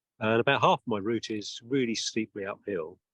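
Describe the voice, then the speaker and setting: Here a man speaks with a British accent at a fairly low pitch. The sound is dry and close, with no echo. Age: 60s. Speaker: interviewer, charity walker. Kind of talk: interview. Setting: outdoors.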